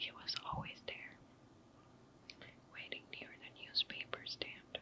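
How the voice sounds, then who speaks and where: A woman whispers at a fairly slow pace. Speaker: ASMR content creator. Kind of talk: ASMR whispered story reading. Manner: whispered, soft.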